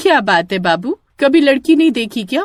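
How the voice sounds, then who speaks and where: A cartoonish character voice, pitched high, swings very widely in pitch at a moderate pace. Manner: sweet-voiced then menacing.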